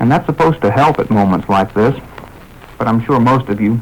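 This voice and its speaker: Noticeable background noise sits behind a man of medium pitch talking at a moderate pace. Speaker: radio host. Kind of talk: radio broadcast monologue. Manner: somber.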